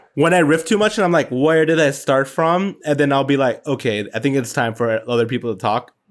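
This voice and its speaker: Over a silent background in a very clean recording, a man talks fairly quickly with hardly any pauses, his fairly high voice lively in intonation and very even in loudness. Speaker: podcast co-host. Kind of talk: casual chat.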